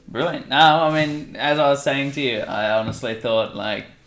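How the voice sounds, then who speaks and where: A man with an Australian accent, at a moderate pace and in fairly even intonation. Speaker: travel podcast host. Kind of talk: casual podcast narration and interview. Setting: bedroom interview.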